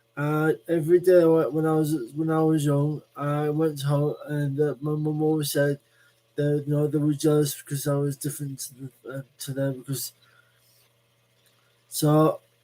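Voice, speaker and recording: A man with a Lancashire accent talks at a moderate pace in a fairly high pitch, his tone dark and mellow and his intonation flat and monotone. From northern England. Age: 40s. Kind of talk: live stream monologue. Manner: halting.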